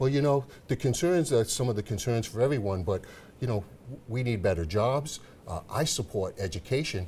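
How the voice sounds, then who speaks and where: Somewhat breathy, a man speaks at a fairly quick pace. His tone is dark and mellow. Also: medium pitch for a man, lively intonation. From Rhode Island, Providence. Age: 60s. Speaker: political candidate. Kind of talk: TV interview.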